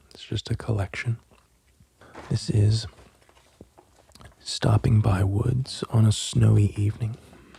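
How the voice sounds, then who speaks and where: Soft-spoken and calm, the speaker moves at a fairly slow pace with long, frequent pauses. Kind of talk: casual soft-spoken talk to camera. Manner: soft-spoken, calm.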